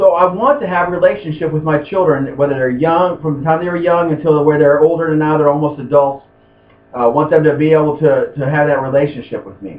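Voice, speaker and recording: A man talks at a very fast pace. His pitch sits fairly high, and his intonation stays fairly even. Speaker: class instructor. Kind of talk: lecture. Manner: halting.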